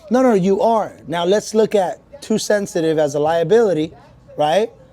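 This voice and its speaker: A loud, animated man speaks at a moderate pace with ordinary pitch variation. Music plays in the background. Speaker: motivational coach. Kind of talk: podcast interview. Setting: supplement store.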